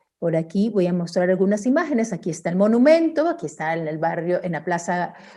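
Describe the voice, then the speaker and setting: Speaking in a Guayaquil accent, a woman uses a dark, mellow tone with very wide pitch swings. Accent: Guayaquil coastal Ecuadorian. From Ecuador, Guayaquil. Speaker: artist and researcher. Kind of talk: online talk with slides. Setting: virtual event. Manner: many fillers and restarts.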